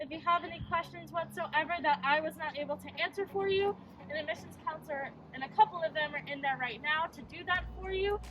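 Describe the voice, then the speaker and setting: Lively in intonation and fairly quick, a woman's high-pitched voice rises and falls sharply in loudness against noticeable background noise. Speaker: college tour guide. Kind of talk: campus tour talk.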